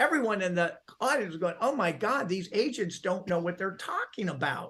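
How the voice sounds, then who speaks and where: Energetic and high-pitched, a man raises and projects his voice with a bright, sharp tone and lively intonation. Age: 70s. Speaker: real estate video marketer. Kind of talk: interview.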